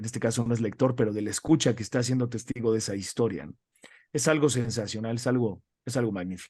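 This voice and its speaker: A man of medium pitch talks with a Mexican accent and ordinary pitch variation. The background is quiet. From Mexico. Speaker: radio announcer and entertainment news presenter. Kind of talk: interview conversation. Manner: many fillers and repetitions.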